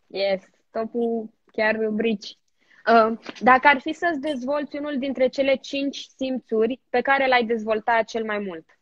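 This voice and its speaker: Over a quiet background, a woman speaks very slowly in a high pitch with ordinary pitch variation. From Romania. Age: 20s. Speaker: TV presenter. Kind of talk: casual chat. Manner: animated. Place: home room. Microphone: phone near.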